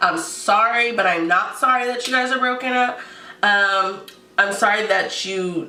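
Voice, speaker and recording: A woman speaks in an animated tone at a fairly slow pace with ordinary pitch variation. Noticeable background noise and audible room echo surround her. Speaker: advice vlogger. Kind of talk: casual advice vlog.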